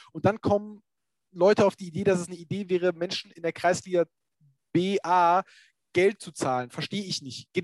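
A man's high-pitched voice at a moderate pace, with fairly even intonation, long and frequent pauses, big swings in loudness, and a dry, close sound with no echo. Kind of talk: casual chat. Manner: informal, stumbling, hesitant.

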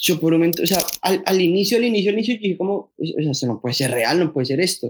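The voice belongs to a man with a high pitch. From Colombia, Bogotá. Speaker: sneaker enthusiast, content creator. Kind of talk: casual chat. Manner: animated.

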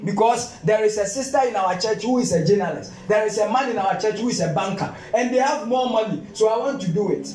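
A man with a Ghanaian accent talks at a high pitch with ordinary pitch variation. He goes at a fairly quick pace with hardly any pauses, music playing in the background. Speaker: pastor. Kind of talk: sermon. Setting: church. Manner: fervent, call-and-response preaching, repeats lines for emphasis; stumbling, repetitive bursts when excited (you must you must).

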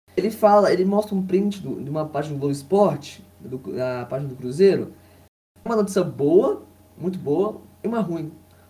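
Speaking at a moderate pace, a man with a high pitch and a dark, mellow tone uses lively intonation. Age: 20s. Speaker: football fan commentator. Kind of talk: casual chat.

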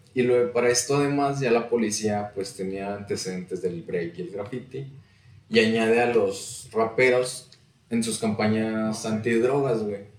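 A man speaks at a moderate pace in an ordinary speaking voice. His pitch sits in the medium range and his intonation stays fairly even. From Saltillo, northern Mexico. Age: 20s. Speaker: podcaster and rap enthusiast. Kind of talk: casual chat.

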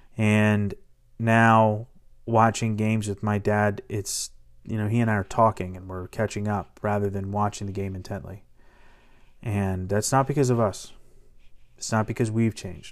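Fairly low-pitched man at a moderate pace, with long, frequent pauses. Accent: American. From Washington DC area. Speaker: sports podcast host. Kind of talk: solo sports commentary podcast. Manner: animated.

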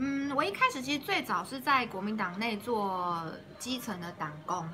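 Lively intonation marks a woman's medium-pitched voice, heard with audible room echo and noticeable background noise. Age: young. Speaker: city councillor, politician. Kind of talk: interview, casual chat.

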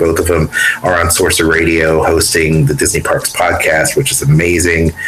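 Noticeable background noise surrounds a man's voice. His pitch is very deep and low, and his tone is upbeat and warm. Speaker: radio host. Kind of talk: radio dj patter, anniversary show hosting with interviews. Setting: remote recording, poor internet, from a small cramped space. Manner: upbeat, warm, polished radio-announcer delivery.

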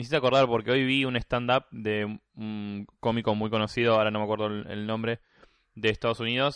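With a Rioplatense accent, a man of medium pitch speaks at a fairly quick pace in a monotone, flat intonation, the sound dry and close with no echo and the background quiet. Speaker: podcast co-host. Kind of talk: casual chat.

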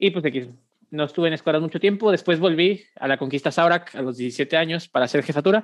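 Fairly quick and with ordinary pitch variation, this man's speech moves along. He has an ordinary speaking voice pitched fairly high. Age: 20s. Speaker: regional youth movement coordinator. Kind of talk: casual chat.

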